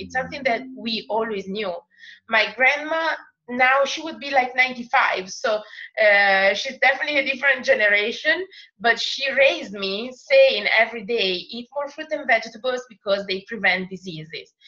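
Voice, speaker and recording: In an Italian accent, a woman speaks at a fairly high pitch with big swings in loudness. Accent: Italian accent, noticeable. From Italy. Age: 30s. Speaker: makeup artist and network marketer. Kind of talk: group call presentation and testimony. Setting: recorded group call.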